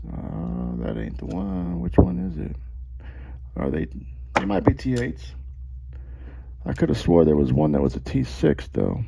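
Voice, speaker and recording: A man's very deep, low voice at a fairly slow pace, with long, frequent pauses, ordinary pitch variation and noticeable background noise. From Puerto Rico. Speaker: knife reviewer. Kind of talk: casual tutorial. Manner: animated, profane.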